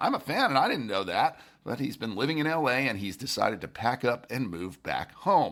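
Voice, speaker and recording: Speaking at a moderate pace with vocal fry, a man makes very wide pitch swings. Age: over 25. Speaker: podcast host. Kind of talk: daily news podcast read.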